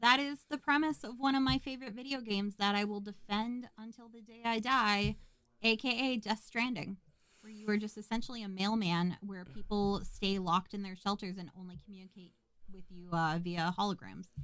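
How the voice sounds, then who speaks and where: This woman talks at a fairly quick pace with an American accent and a bright, sharp tone. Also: medium pitch for a woman, ordinary pitch variation, big swings in loudness. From US Midwest, rural Minnesota. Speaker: podcast co-host. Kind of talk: casual chat. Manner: fast.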